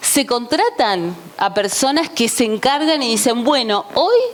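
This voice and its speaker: Against noticeable background noise, a woman with a fairly high pitch talks in an animated tone with lively intonation. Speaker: journalist, conference speaker. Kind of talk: conference talk.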